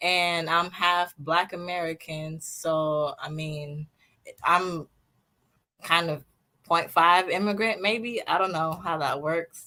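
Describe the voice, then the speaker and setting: A woman with a slight East African accent speaks at a very slow pace. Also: fairly low pitch for a woman. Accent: slight Swahili-tinged. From US Pacific Northwest (Seattle), born in Tanzania. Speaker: fashion designer, podcast guest. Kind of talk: interview conversation. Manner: hesitant with fillers.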